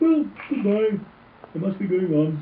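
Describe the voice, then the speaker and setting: This put-on character voice sounds female and sits at a middle pitch. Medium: read story. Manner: simple, earnest.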